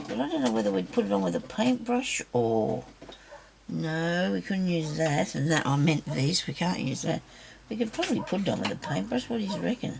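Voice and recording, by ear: A woman speaks at a fairly low pitch and a moderate pace, her voice raspy and croaky with vocal fry. Her tone is slightly mellow, and her pitch swings widely.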